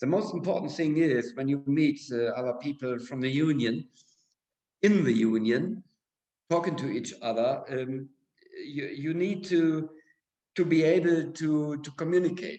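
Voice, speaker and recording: Speaking with a German accent, a man with a fairly high pitch, ordinary pitch variation and a dark, mellow tone moves at a fairly slow pace with long, frequent pauses. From Germany. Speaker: school director. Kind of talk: interview. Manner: halting.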